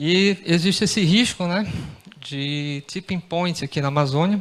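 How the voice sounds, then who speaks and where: Noticeable background noise sits behind a man who talks at a fairly slow pace with ordinary pitch variation. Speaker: researcher. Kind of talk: conference presentation. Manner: halting, many fillers.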